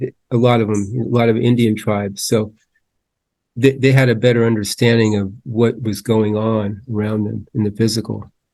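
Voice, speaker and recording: In a dark, mellow tone, a man speaks at medium pitch and a moderate pace with monotone, flat intonation. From San Francisco Bay Area, Latvian family. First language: Latvian. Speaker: podcast host. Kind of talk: casual chat.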